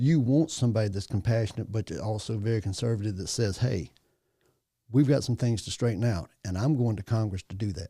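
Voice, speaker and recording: In a very clean recording with a silent background, a man with a Louisiana accent talks at a fairly quick pace in a fairly low pitch, his dark, mellow tone somewhat breathy and his pitch varying in an ordinary way. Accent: Southern US (Louisiana). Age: 60s. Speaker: parish assessor. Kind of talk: casual chat. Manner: animated.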